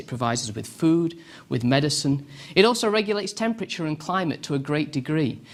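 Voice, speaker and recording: A man speaks with a British accent at a fairly high pitch. His intonation is lively. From England (Derbyshire area). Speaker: professor. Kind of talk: lecture.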